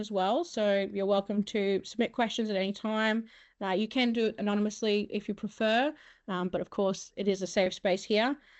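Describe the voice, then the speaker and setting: A woman with an Australian accent and a fairly high pitch talks at a fairly quick pace with fairly even intonation. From Mackay region, Queensland, Australia. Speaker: webinar host, comms and marketing worker. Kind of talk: moderating an online panel. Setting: online webinar. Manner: fast.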